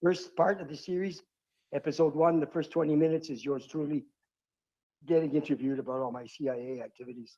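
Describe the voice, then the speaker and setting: Talking at a very fast pace, a man with a fairly high pitch and a dark, mellow tone shows ordinary pitch variation and big swings in loudness. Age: 70s. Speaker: retired pilot and former smuggler. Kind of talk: interview.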